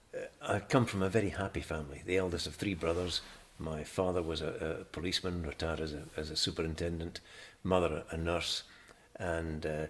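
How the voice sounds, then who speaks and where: A man speaks with a northeast Scottish accent at a very deep, low pitch. His pace is fairly quick and his intonation fairly even. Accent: Scottish (north-east). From Scotland (Glasgow, then Aberdeen). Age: 70s. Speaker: retired journalist, interviewee. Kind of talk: oral history interview. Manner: hesitant, many fillers and restarts.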